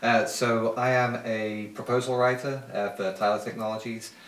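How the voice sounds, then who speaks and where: The speaker has a British accent, and there is audible room echo. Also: man. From UK. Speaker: political candidate. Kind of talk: interview.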